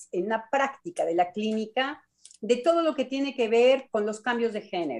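This woman's voice sits high in pitch. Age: 60s. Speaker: psychoanalyst. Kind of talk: radio panel discussion.

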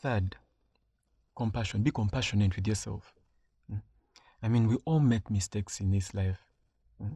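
At a moderate pace and with long, frequent pauses, a man speaks in a somewhat breathy, dark and mellow, fairly low voice with ordinary pitch variation, the sound dry and close with no echo. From Uganda. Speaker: podcast host. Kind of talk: solo monologue, personal story and advice. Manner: casual, with hesitations.

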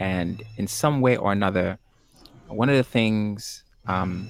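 A man talks in an unremarkable speaking voice. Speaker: poetry game show host. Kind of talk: hosting a live-streamed spoken word game show, relaxed and upbeat. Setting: live stream, virtual. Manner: smooth, warm, upbeat, encouraging.

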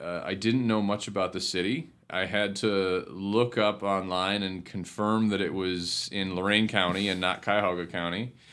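The delivery is monotone and flat at a moderate pace, with hardly any pauses. It comes in an Ohio accent. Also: man, fairly low pitch for a man. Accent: Midwestern American (Ohio). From Northeast Ohio, Cleveland Heights. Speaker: city community development director. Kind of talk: interview. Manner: hesitant with repetitions.

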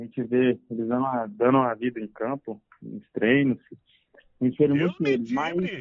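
Ordinary pitch variation around a medium pitch marks a man who talks fairly quickly. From Brazil, Anápolis, Goiás. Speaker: professional footballer. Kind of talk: interview. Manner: calm.

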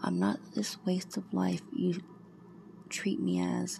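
Noticeable background noise runs under this woman's voice. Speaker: poet. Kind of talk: poem performed, read aloud as emotional spoken-word verse.

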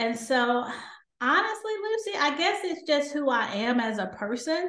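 A woman talks at a fairly slow pace with audible room echo around her. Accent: Southern US. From US South. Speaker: doctor. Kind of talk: interview.

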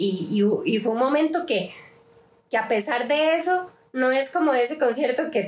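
A woman's plain, everyday voice with lively intonation. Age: 20s. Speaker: youth group leader. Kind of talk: casual chat.

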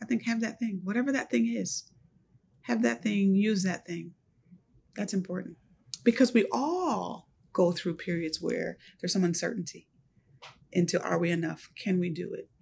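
A woman with a medium pitch and vocal fry speaks at a moderate pace, her pitch swinging very widely. There are long, frequent pauses, and the recording is very clean with a silent background. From US, Buffalo, New York. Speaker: university administrator. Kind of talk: interview.

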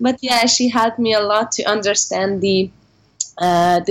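With a Hungarian accent, a woman speaks at a moderate pace, her medium pitch and intonation fairly even. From Hungary. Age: 20s. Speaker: English teacher. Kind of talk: interview.

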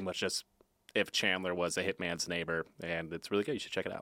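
Recorded very cleanly against a silent background with a dry, close sound and no echo, a man speaks in a bright, sharp tone. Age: 30s. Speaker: writer, new podcast co-host. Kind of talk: casual chat.

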